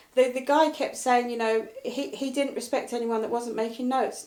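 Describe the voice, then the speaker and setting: This woman's pitch sits fairly high. She talks at a fairly quick pace. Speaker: motivational speaker and coach. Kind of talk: casual interview chat. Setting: live video stream. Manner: direct and blunt.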